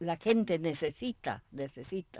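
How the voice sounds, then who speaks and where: A woman's very slow speech with vocal fry, in a dry, close sound with no echo. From Argentina, Misiones (German immigrant family). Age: 80s+. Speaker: elderly interviewee, pioneer settler. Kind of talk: TV interview. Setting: at her home.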